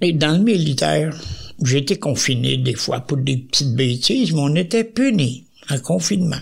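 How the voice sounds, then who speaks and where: With vocal fry and lively intonation, a man talks at a fairly slow pace and a fairly high pitch. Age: 90s. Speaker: retired soldier. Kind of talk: interview.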